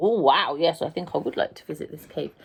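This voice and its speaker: Putting on a character voice, a woman mumbles at a fairly quick pace. Her voice is fairly low and swings widely in loudness. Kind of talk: bedtime story. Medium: read story. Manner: mumbling, mouth full.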